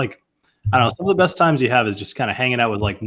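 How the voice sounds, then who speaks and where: Somewhat breathy, a man speaks at a medium pitch. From New England. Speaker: whiskey channel host. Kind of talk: casual chat. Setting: live stream video call.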